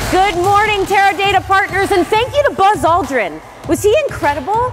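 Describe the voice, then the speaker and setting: An extremely high-pitched woman's voice, upbeat and energetic, with lively intonation, very even loudness and a moderate pace, over music in the background. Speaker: tech expert and event host. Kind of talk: keynote speech. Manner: upbeat, energetic. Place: stage.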